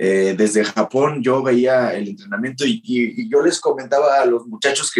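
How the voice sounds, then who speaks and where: A man uses an ordinary speaking voice at medium pitch and moderate pace, with ordinary pitch variation. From Mexico. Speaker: professional wrestler. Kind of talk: interview.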